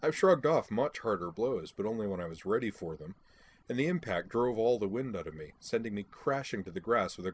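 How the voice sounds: The voice heard here reads naturally.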